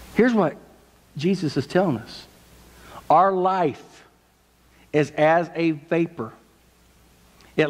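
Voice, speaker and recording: Speaking at a very slow pace, a man uses a fairly high pitch. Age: 50s. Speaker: pastor. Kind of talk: sermon. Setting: church. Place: church.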